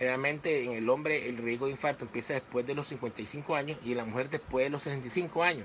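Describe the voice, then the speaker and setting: A man's medium-pitched, bright, sharp voice at a fairly quick pace, with fairly even intonation. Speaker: physician giving health talks. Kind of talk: live medical talk to online audience. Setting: live stream on social media page. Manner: fast.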